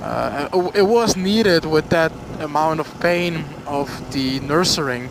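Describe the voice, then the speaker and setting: With noticeable background noise, a man talks at a very slow pace in a Flemish Belgian accent, his fairly high pitch showing ordinary variation. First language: Dutch. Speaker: motorcycle vlogger. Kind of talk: casual storytime vlog. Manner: halting, many fillers.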